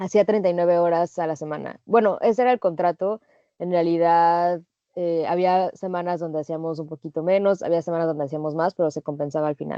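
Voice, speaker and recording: A woman with a Mexican accent speaks in a fairly low pitch with fairly even intonation. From Mexico. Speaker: working holiday traveler. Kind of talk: interview.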